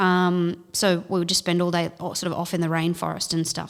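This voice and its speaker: A woman speaks at medium pitch. The recording is very clean, with a silent background. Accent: Australian. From North Queensland, Australia (Townsville). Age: young. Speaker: comedian. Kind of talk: casual chat.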